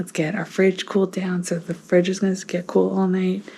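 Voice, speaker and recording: A woman whispers. She has an American accent. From northern US. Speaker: family vlogger. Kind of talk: casual vlog talk. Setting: at home. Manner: whispering.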